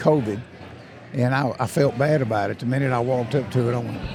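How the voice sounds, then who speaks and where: A man's very fast speech at medium pitch with ordinary pitch variation and noticeable background noise. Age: 70s. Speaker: hunting brand ambassador. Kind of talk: casual chat. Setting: convention show floor.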